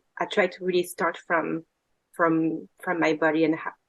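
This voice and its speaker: A woman speaks with a French accent. Her pitch sits fairly low. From France. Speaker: women's circle facilitator. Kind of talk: casual chat. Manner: halting.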